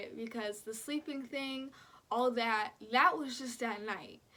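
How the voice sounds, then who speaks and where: The woman's voice is high and animated, with ordinary pitch variation. She speaks at a fairly slow pace. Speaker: vlogger. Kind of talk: casual chat.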